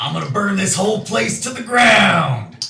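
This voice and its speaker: Using a put-on character voice, a man speaks in a raspy, high pitch at a moderate pace. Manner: yelling, threatening.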